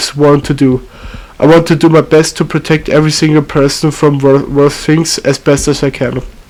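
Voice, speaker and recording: The speaker has a non-native accent and talks in a flat monotone. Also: man. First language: not English. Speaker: amateur video maker. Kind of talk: reading a script aloud. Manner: halting, frequent self-corrections.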